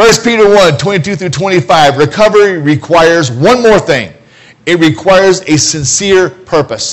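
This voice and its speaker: The voice is loud with an American accent. It moves at a fairly slow pace with lively intonation. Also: man, high pitch for a man. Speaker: preacher. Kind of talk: sermon. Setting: church. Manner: loud, animated.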